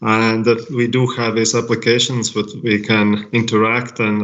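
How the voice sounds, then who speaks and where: A man with a Latvian accent talks at a fairly slow pace. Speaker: language technology company representative. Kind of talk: panel presentation. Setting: online live event. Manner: halting, many fillers.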